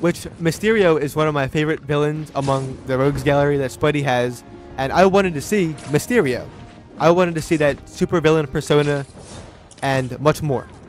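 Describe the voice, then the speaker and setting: Over music in the background, a man speaks with a fairly high pitch and ordinary pitch variation. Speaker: gaming commentator. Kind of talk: game review commentary.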